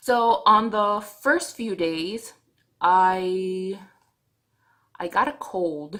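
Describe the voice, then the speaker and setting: A woman speaks with a non-native accent at a very slow pace. Her medium pitch carries lively intonation. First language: not English. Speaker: vlogger. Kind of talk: video diary. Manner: halting.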